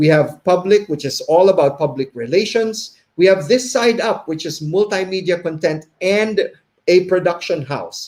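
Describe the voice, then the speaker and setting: A man with a high pitch talks at a moderate speed, his pitch varying in an ordinary way. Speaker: behavior consultant and webinar host. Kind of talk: live webinar presentation. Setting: live stream. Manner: slight stutter, stumbling.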